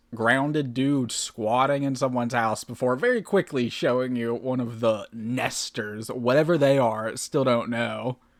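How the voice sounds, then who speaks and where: The man talks at a medium pitch and a moderate pace, his pitch varying in an ordinary way. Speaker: horror video reactor. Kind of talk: casual reaction commentary. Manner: low energy.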